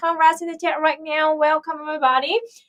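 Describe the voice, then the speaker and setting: A woman speaks with a Vietnamese accent. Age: 30s. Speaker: political streamer. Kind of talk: live stream chat. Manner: loud; halting.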